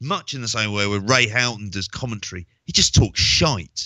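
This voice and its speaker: The man's voice sits fairly low in pitch. He goes at a moderate pace with ordinary pitch variation. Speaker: wrestling podcast co-host and teacher. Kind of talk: casual chat. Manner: blunt and sweary.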